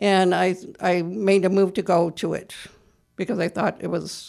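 A woman speaks at medium pitch. Vocal fry runs through her voice. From US Midwest (Iowa). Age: 70s. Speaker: artist and actress. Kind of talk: radio interview. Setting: radio studio.

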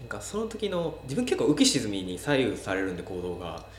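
Speech from a man amid noticeable background noise, with audible room echo. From Wakayama city, Japan. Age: 30s. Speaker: Instagram cafe influencer. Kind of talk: casual interview chat.

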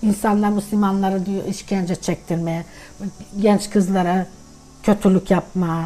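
This woman's voice sits at a medium pitch. Her intonation stays fairly even. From Sandžak, Serbia (Tutin), Bosniak family; moved to Turkey at 13. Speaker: grandmother sharing family history. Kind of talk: casual family interview, life story.

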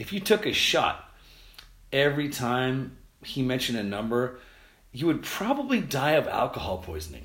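Speaking at a medium pitch with vocal fry, a man swings very widely in pitch and leaves long, frequent pauses. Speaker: podcast host and tour photographer. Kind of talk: casual solo podcast monologue. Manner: fast talker; rambling, informal, filler words.

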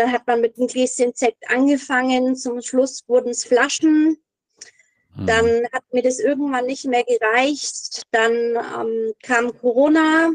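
A woman with a high voice speaks very slowly and with fairly even intonation, the sound dry and close with no echo. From Middle Franconia, Bavaria, Germany. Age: 30s. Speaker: recovering alcoholic, office clerk. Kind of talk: personal testimony interview. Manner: hesitant, many fillers.

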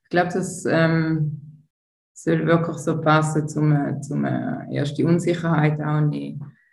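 Audible room echo surrounds a woman with a very deep, low pitch. She speaks very slowly in a flat monotone. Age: 40s. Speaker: tantra massage therapist. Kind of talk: interview.

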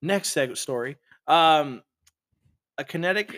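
A man talks at a moderate pace in a plain, everyday voice. His intonation is lively, and the sound is dry and close with no echo. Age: 30s. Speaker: podcast co-host. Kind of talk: casual chat.

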